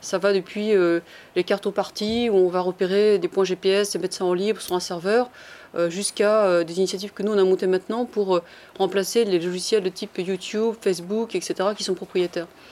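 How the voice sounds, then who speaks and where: At a moderate pace and medium pitch, a woman talks in a monotone, flat intonation with a dark, mellow tone. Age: 40s. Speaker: engineer turned project incubator founder and author. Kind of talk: panel talk. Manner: hesitant, many fillers.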